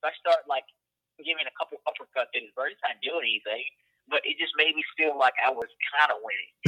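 Very fast speech in a Southern US accent. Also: man. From Louisiana, US South. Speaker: hunter and outdoor content creator. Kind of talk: casual interview. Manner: voice cracks higher when excited.

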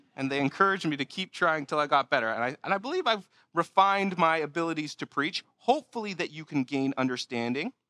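A man speaks very fast in a bright, sharp tone of fairly high pitch, recorded very cleanly against a silent background with a dry, close sound and no echo. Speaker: pastor. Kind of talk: sermon. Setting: church.

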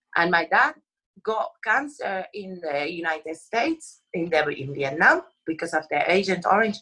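This woman's voice sits at a fairly low pitch with a bright, sharp tone. Her intonation is lively. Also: moderate pace. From Puerto Rico. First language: Spanish. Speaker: actress. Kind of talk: interview. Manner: passionate.

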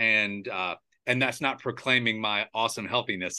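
A man with an American accent speaks in an unremarkable speaking voice at medium pitch with fairly even intonation. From United States; Charleston, US South. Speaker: podcast host. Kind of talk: casual interview chat. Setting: video call.

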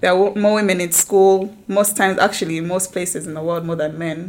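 A woman's unremarkable speaking voice at medium pitch and a moderate pace. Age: 20s. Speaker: lawyer. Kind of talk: casual chat.

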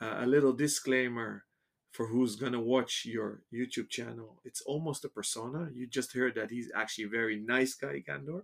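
Speaking at a moderate pace, the man has an ordinary speaking voice of medium pitch and ordinary pitch variation. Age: 40s. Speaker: watch shop podcast host. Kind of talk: interview. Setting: in person at shop offices.

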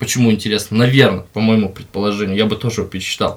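A man talks at a very fast pace. His voice is medium-pitched with fairly even intonation. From remote settlement in Russia, from a small ethnic minority. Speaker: podcast guest, works as a host. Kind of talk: casual chat. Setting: studio.

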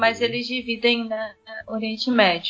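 At a moderate pace, a woman with an ordinary speaking voice and fairly high pitch speaks with fairly even intonation. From Brazil, Espírito Santo (Vila Velha). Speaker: missionary. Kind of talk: interview testimony.

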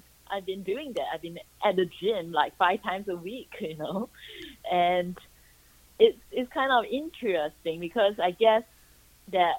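A woman with an American accent at a fairly slow pace, medium in pitch, with lively intonation, big swings in loudness, and long, frequent pauses. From Singapore. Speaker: author, actress and YouTuber. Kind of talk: phone interview. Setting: phone call. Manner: hesitant, many fillers.

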